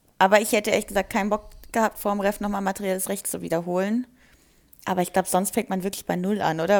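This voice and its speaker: A woman has a normal speaking voice at a medium pitch with fairly even intonation. The recording is very clean, with a silent background. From Germany, Wiesbaden (Hesse). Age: 20s. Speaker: law trainee. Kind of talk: casual chat.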